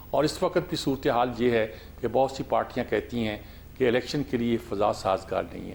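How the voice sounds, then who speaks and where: The man has a normal speaking voice at a medium pitch. He talks at a moderate pace with ordinary pitch variation. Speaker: TV talk show host. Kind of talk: TV political talk show.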